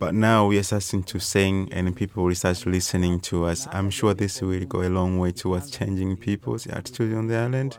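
With a Tanzanian accent, a man speaks at a fairly low pitch with fairly even intonation. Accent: Tanzanian English, Swahili-accented. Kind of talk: interview, spoken English.

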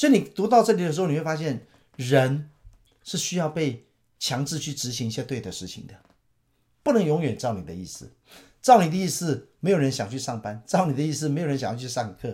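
At a fairly quick pace, a man with a Taiwanese accent, fairly high pitch, and a dark, mellow tone with vocal fry makes very wide pitch swings and big swings in loudness, in a very clean recording with a silent background. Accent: Taiwanese Mandarin. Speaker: pastor. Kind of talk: Bible teaching talk.

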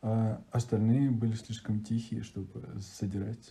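A man speaks in a somewhat breathy voice. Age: 20s. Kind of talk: interview. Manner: pauses before words.

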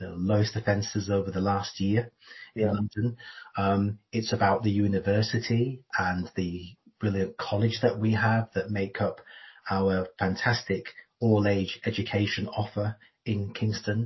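A man's fairly low, somewhat breathy voice, monotone and flat in intonation, at a moderate pace. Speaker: council chief executive. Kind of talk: casual interview.

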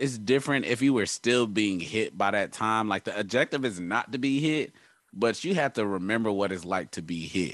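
An ordinary speaking voice from a man, fairly low in pitch, with ordinary pitch variation, a moderate pace and a quiet background. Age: 30s. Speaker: sports podcast host. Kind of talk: casual chat.

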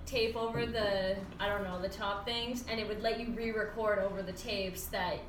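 Through noticeable background noise, a woman with a fairly high pitch speaks at a moderate pace. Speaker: podcast co-host. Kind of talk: casual chat. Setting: live stream. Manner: animated.

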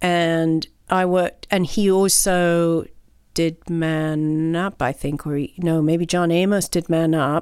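Her monotone, flat delivery comes at a very slow pace, fairly low in pitch for a woman. The recording is very clean, with a silent background. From Mexico until five, then Britain. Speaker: choreographer and artist in residence. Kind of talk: interview.

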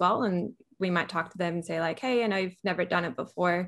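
Her voice is a plain, everyday voice: a woman at medium pitch with ordinary pitch variation. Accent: American. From California, US. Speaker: software engineer. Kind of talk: interview.

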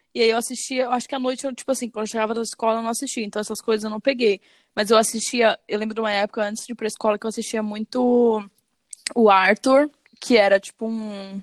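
At a very fast pace, a woman speaks in a monotone, flat intonation at a fairly high pitch, the sound dry and close with no echo. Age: 20s. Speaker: podcast co-host. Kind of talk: casual chat.

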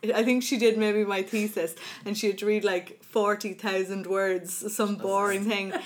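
A woman speaks in an Irish accent at a fairly slow pace, her medium-pitched voice flat and monotone. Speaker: dyslexia advocacy coordinator, podcast host. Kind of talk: casual interview. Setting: studio.

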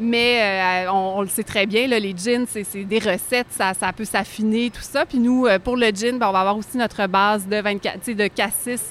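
This woman has an ordinary speaking voice, fairly high in pitch with fairly even intonation. She goes at a fairly slow pace with hardly any pauses. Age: 40s. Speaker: liqueur producer. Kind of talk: casual chat.

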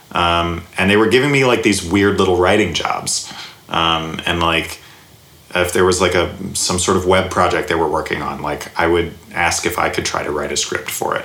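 Amid noticeable background noise and audible room echo, a man with a very deep, low pitch talks at a moderate pace with ordinary pitch variation. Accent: American. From US South, Alabama. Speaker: comedy writer and sketch teacher. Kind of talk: casual interview. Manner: halting, many fillers.

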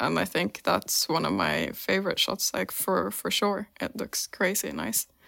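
A woman's bright, sharp voice with vocal fry, medium pitch and a moderate pace, on a very clean recording with a silent background. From Finland. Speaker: compositing artist. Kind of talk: interview.

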